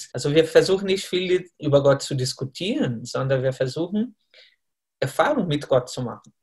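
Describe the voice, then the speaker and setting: A man with a Brazilian accent, a fairly high pitch and a somewhat breathy voice. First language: Portuguese (speaking German). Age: 30s. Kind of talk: interview. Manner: halting, with fillers.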